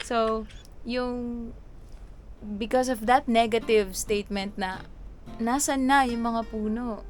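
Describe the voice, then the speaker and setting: A woman's fairly high-pitched voice amid noticeable background noise. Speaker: singing host and songwriter vlogger. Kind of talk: casual reaction vlog. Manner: conversational.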